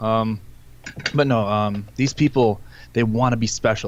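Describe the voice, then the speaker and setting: The speaker is a man. He talks at a moderate pace. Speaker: podcast co-host. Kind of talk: casual chat. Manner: loud.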